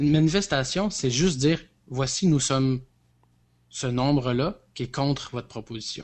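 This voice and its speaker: A man with a Quebec accent talks at a moderate pace and fairly high pitch, with ordinary pitch variation and long, frequent pauses. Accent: Québécois French. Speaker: podcast co-host. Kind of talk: casual chat. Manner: halting.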